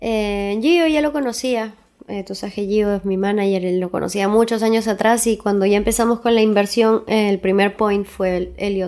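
A woman with an unremarkable speaking voice talks at medium pitch and a fairly slow pace, with fairly even intonation and hardly any pauses. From Peru, Huaraz. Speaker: reggaeton singer. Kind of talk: interview.

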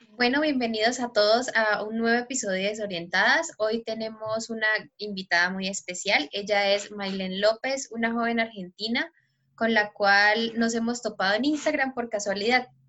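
Moderately paced, a woman with a plain, everyday voice speaks at a fairly high pitch with ordinary pitch variation. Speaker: podcast co-host. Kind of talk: casual interview.

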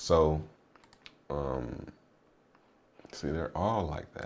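A man talks at a very slow pace. His voice has vocal fry. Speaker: crypto podcaster. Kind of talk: solo podcast with chart analysis. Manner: casual, joking, filler-heavy.

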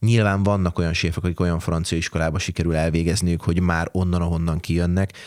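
On a very clean recording with a silent background, a man with a very deep, low voice speaks very fast in a monotone, flat intonation, with hardly any pauses and very even loudness. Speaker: chef. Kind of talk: interview.

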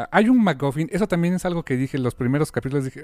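In a Mexican accent, the speaker's dark, mellow tone races at a very fast pace through very wide pitch swings, with a dry, close sound with no echo in a very clean recording over a silent background. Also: man. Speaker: podcast host. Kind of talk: casual chat.

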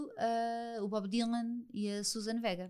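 A woman talks very slowly, her pitch fairly high. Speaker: podcast host. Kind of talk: interview.

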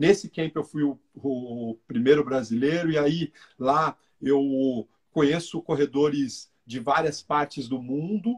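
A man speaks very slowly in a fairly high, somewhat breathy voice with ordinary pitch variation. The sound is dry and close, with no echo. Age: 40s. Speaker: running coach and athlete. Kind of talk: casual interview on a live stream.

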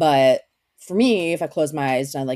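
Her very deep, low voice has a dark, mellow tone, and the woman speaks with an American accent. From Maryland, US (Severna Park, near Baltimore). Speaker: comedian. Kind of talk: casual chat.

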